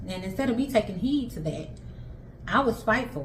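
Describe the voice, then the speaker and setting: A woman talks at a very fast pace with lively intonation. Room echo and background noise are both noticeable. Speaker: stay-at-home mom vlogger. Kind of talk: casual monologue. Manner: animated.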